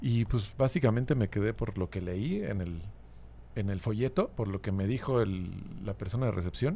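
A man's fairly low voice with a dark, mellow tone and vocal fry, at a moderate pace with ordinary pitch variation. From Mexico City. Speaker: musician. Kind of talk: casual chat.

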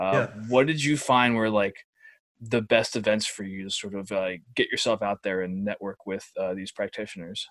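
An ordinary speaking voice with an American accent talks at a moderate pace, with ordinary pitch variation and big swings in loudness. The sound is dry and close with no echo, over a quiet background. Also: man, fairly low pitch for a man. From New Jersey. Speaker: student podcast host. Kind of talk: announcements; casual chat. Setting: video call.

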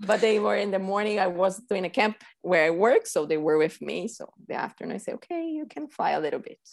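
A woman with a Portuguese accent talks at a fairly quick pace with hardly any pauses, lively intonation and big swings in loudness. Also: medium pitch for a woman. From Brazil, São Paulo. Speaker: reading teacher. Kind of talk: casual interview.

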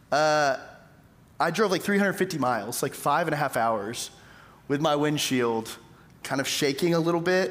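With an American accent, a man speaks at a fairly slow pace and a fairly high pitch, with long, frequent pauses. His loudness stays very even, and audible room echo surrounds him. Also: lively intonation. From East Texas, Tyler. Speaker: pastor. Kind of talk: sermon.

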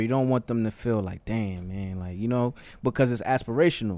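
In a very clean recording with a silent background, a man with an American accent uses a normal speaking voice, talking at a moderate pace with ordinary pitch variation. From New York City, the Bronx. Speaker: hip-hop artist manager. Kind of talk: casual chat. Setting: studio.

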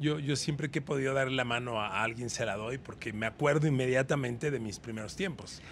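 Speaking with a Mexican accent at a fairly quick pace and hardly any pauses, a man holds a medium pitch with ordinary pitch variation. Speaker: veteran sports journalist. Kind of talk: casual interview chat.

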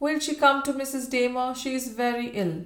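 A woman puts on a shaky character voice at a high pitch. She speaks at a moderate pace. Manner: trembling.

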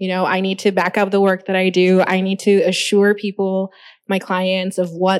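Recorded very cleanly against a silent background, a woman talks at a moderate pace with medium pitch. She has an unremarkable speaking voice. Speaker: graphic designer. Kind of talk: panel discussion. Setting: stage with audience.

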